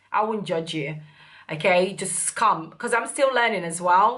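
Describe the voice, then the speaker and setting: With a fairly low pitch, a woman's voice shows a bright, sharp tone and ordinary pitch variation. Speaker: beauty youtuber. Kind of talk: product review.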